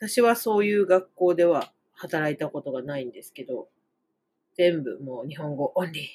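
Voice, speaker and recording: A woman speaks with a fairly low pitch. Her pitch swings very widely. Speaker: Japanese language teacher, podcaster. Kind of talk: casual monologue lesson podcast. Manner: rambling, frequent fillers and self-corrections.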